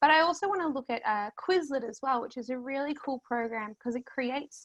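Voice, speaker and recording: At a moderate pace, a woman talks with an Australian accent in a dry, close sound with no echo. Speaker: history teacher. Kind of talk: presentation.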